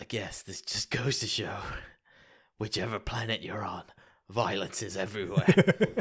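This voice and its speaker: Putting on a raspy character voice, a man speaks at a moderate pace and medium pitch, with long, frequent pauses. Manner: deadpan.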